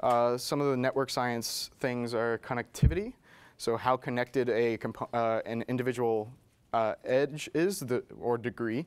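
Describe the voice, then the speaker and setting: A man talks at a fairly slow pace with ordinary pitch variation. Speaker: presenter at tech meetup. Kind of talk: presentation. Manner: halting. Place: meeting room. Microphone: lapel.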